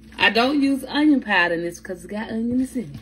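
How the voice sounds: A woman speaks at a moderate pace with lively intonation.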